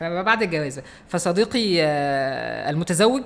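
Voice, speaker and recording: A loud, energetic man with a high pitch and ordinary pitch variation, over noticeable background noise. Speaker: podcast co-host. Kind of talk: casual chat. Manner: louder, energetic.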